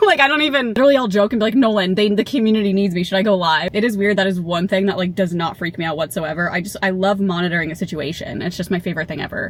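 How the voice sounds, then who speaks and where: Over noticeable background noise, a woman with a medium pitch speaks using lively intonation. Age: 30s. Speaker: lifestyle vlogger. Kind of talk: casual vlog monologue. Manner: loud when nervous; chatty.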